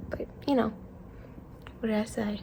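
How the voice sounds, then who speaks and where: Noticeable background noise sits behind this recording. A woman speaks at a fairly high pitch with ordinary pitch variation. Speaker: vlogger with a service dog in training. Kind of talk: casual vlog narration.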